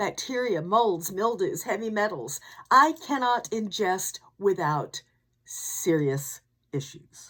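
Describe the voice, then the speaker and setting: A woman's fairly high voice with vocal fry, very wide pitch swings and a very slow pace. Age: old. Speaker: podcast host. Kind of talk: scripted narration. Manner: musical intonation; frequent dramatic pauses.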